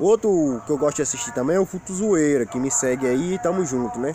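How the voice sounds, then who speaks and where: Speech comes at a very fast pace with ordinary pitch variation. The sound is dry with no echo, over light background noise. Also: man. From Rio Grande do Norte, northeastern Brazil. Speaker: YouTuber. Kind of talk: casual vlog monologue. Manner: informal, colloquial. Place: forest. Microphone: phone near.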